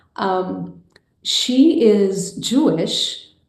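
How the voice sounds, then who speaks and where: A woman is speaking. The room has an audible echo. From Brazil, Rio de Janeiro. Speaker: filmmaker and mindfulness teacher. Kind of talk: interview conversation.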